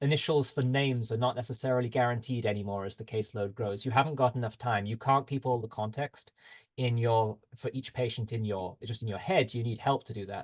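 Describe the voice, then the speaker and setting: At a fairly quick pace, a man with a somewhat breathy, medium-pitched voice speaks with ordinary pitch variation over a quiet background. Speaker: health tech company representative. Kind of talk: webinar presentation. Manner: fast.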